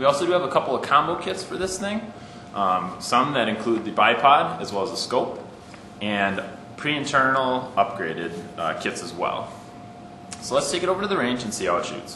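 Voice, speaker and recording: Fairly quick male speech with audible room echo and light background noise. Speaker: presenter. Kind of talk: product overview. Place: shop.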